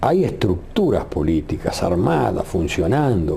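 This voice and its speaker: A man at a fairly slow pace, with very wide pitch swings, audible room echo and noticeable background noise. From Uruguay. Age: 70s. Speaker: retired radio journalist. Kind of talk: interview.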